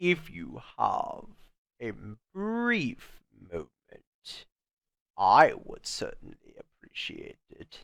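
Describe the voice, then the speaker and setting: In a put-on character voice, a man speaks at a very slow pace with long, frequent pauses. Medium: audio drama. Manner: polite, measured, ominous.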